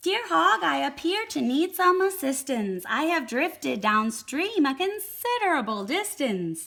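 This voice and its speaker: A woman does a put-on character voice at a high pitch. She moves at a moderate pace with very wide pitch swings. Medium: read story. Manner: polite, formal.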